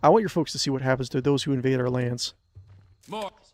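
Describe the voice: Text read aloud, plainly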